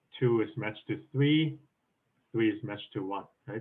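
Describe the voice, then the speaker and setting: A man's voice at medium pitch. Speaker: programming contest coach. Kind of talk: lecture. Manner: fast.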